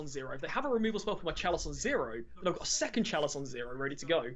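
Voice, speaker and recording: A man rushes along at a very fast pace while noticeable noise hums in the background. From England. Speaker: Magic the Gathering streamer. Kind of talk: casual interview chat.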